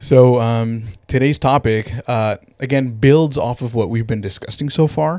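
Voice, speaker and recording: A man with an American accent speaks at a moderate pace in a dark, mellow tone. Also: medium pitch for a man, ordinary pitch variation. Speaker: podcast host, business owner. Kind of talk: casual chat.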